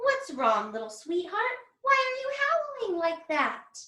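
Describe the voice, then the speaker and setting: In a put-on character voice with an extremely high pitch, a woman speaks at a fairly slow pace in a gentle, soothing tone with a slight echo. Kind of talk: children's picture book read-aloud.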